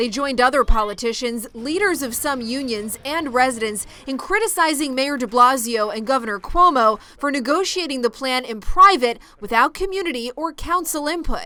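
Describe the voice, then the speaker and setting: A woman speaks in a high pitch with a raised, projected voice and lively intonation. Her pace is moderate, with hardly any pauses. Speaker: television news anchor and reporter. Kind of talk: broadcast news anchoring and field reporting. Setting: live on-location field reporting.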